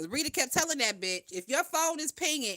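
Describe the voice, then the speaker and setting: A woman speaks in a raised, projected voice with a bright, sharp tone and an animated manner, her pitch swinging very widely. The recording is very clean with a silent background and a dry, close sound with no echo. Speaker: YouTube gossip commentator. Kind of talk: casual gossip livestream.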